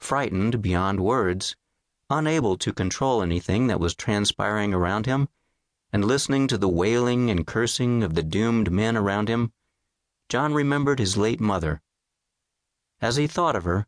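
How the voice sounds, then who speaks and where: A solemn, dramatic tone comes with lively intonation, very even loudness and a moderate pace broken by long, frequent pauses. The sound is dry and close with no echo, over a quiet background. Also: man. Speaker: audiobook narrator. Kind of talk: audiobook narration, scripted and dramatic, reading history aloud. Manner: measured, solemn and dramatic, storytelling tone that builds suspense.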